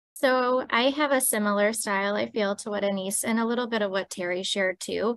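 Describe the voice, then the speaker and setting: Soft-spoken and at a medium pitch, a woman talks at a fairly quick pace with fairly even intonation and hardly any pauses against a quiet background. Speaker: panelist, healthcare leader. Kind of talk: panel discussion.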